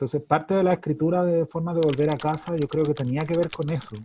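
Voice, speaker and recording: Against a quiet background, a man with a Chilean accent speaks at a moderate pace in a dark, mellow tone that is somewhat breathy. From Santiago, Chile. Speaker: writer. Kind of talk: interview answer.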